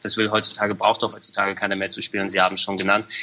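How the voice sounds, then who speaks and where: A man's voice amid noticeable background noise. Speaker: games journalist reporting from a trade fair. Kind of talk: casual chat.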